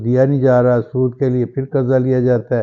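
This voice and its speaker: This is a man speaking at a medium pitch. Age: 60s. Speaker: political commentator vlogger. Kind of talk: opinion vlog monologue. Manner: impassioned, rhetorical.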